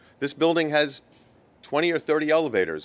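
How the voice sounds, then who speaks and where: The clip has a normal speaking voice at a fairly quick pace. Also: man. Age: 60s. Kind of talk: public comment. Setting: board meeting room.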